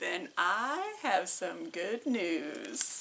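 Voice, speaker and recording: A woman uses a put-on character voice at a medium pitch. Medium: read story. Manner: calm, matter-of-fact.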